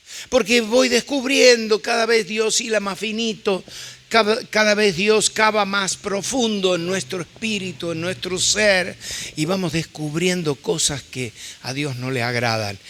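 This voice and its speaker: A man with a high pitch and lively intonation, fairly slow, amid noticeable background noise. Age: 70s. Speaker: visiting preacher. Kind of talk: sermon.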